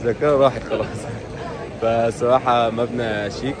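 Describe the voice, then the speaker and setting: Crowd noise fills the background as a man speaks with an Egyptian accent. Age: 20s. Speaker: travel vlogger. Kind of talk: travel vlog narration. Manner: animated.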